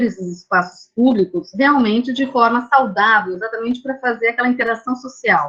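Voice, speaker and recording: In an ordinary speaking voice, a woman talks at a moderate pace, her fairly high pitch showing ordinary variation. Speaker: architect and university lecturer. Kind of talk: lecture. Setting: video call.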